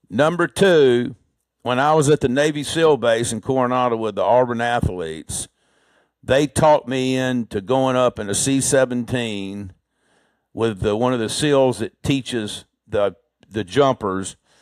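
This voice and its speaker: Talking at a fairly slow pace with an Alabama accent, a man uses a medium pitch and ordinary pitch variation, recorded dry and close with no echo. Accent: US Southern (Alabama). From Alabama, Birmingham. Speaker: heart surgeon. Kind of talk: interview conversation.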